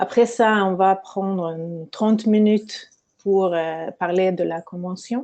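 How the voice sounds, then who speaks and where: With a non-native accent, a woman speaks at a very slow pace in a medium pitch, her dark, mellow tone carrying fairly even intonation. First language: not French (speaking French). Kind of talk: webinar lecture. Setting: online webinar. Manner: halting, many hesitations.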